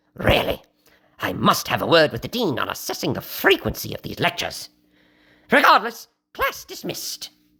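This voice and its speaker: At a moderate pace and fairly high pitch, the speaker leaves long, frequent pauses. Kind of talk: mock-academic lecture. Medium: solo performance. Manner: pompous, wordy, genteel.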